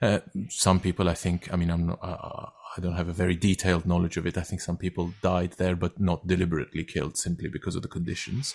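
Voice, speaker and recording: Speaking in a Turkish accent, a man with a very deep, low pitch rushes at a very fast pace in a monotone, flat intonation. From Turkey. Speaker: actor and writer. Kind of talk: interview conversation. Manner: halting, with many fillers and repetitions.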